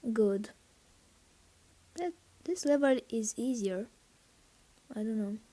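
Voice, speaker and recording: Using a non-native accent, a woman with fairly high pitch and a dark, mellow tone speaks at a very slow pace with lively intonation and long, frequent pauses. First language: not English. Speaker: gaming YouTuber. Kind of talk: gameplay commentary. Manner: halting, many fillers; excited reactions.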